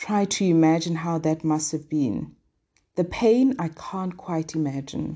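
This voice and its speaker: A woman with a Lesotho accent speaks in a dark, mellow tone at a fairly low pitch, her intonation lively. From southern Africa, Sesotho-speaking. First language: Sesotho. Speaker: devotional podcast host. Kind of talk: daily devotional teaching.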